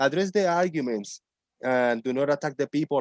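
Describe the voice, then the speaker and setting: A man's fairly high voice with a Spanish accent, lively intonation and a fairly quick pace, recorded dry and close with no echo. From Puerto Rico. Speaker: online show host, ex-flat-earther. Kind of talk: casual chat.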